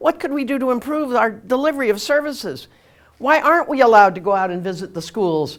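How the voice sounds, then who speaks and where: A woman with an American accent speaks at a fairly quick pace. Her high voice makes very wide pitch swings. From California. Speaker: politician. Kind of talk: campaign speech. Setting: meeting hall with audience. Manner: animated.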